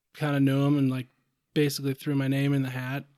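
A man's fairly high voice with an American accent, on a very clean recording with a silent background. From US Midwest, southeast Minnesota. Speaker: fishing guide and conservation nonprofit director. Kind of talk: podcast interview. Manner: casual, frequent fillers and repetitions.

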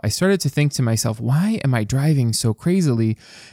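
A man talks at a fairly quick pace with lively intonation and an upbeat tone. The recording is very clean, with a silent background. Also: dry, close sound with no echo. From US Midwest, Dearborn, Michigan. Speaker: podcast host. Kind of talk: solo podcast monologue. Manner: casual, upbeat.

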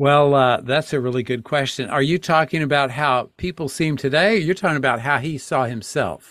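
With an ordinary speaking voice, a man talks at a fairly high pitch and a fairly quick pace, with hardly any pauses. His pitch varies in an ordinary way, and the recording is very clean with a silent background. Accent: American. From Texas. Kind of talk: casual interview.

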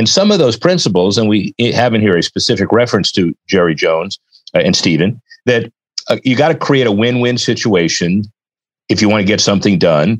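With an American accent and an ordinary speaking voice, a man at medium pitch talks at a fairly quick pace with lively intonation and very even loudness, in a dry, close sound with no echo. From Miami, Florida. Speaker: sports business attorney and consultant. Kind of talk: interview.

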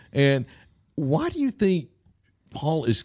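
On a very clean recording with a silent background, a man speaks in a Southern US accent with a dark, mellow tone. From US South. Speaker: podcast host discussing the Bible. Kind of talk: casual Bible study chat. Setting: church.

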